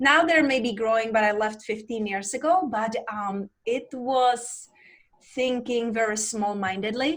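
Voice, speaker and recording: Someone with a Czech accent speaks at a fairly slow pace. The pitch variation is ordinary. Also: woman, fairly high pitch for a woman. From Czech Republic. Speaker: life coach. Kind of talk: interview.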